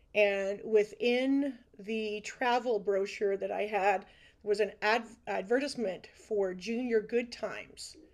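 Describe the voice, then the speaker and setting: Someone speaks with a Canadian accent at a very slow pace. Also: woman, fairly high pitch for a woman. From Ontario, Canada (Brantford). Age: 50s. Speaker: dance and music teacher. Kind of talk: casual interview chat. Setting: video call.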